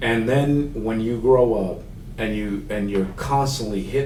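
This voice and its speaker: Someone with a Spanish accent speaks at a moderate pace, and audible room echo surrounds the voice. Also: man. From Mexico, raised in Houston, Texas. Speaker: accessibility consultant. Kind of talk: podcast interview. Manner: casual, halting.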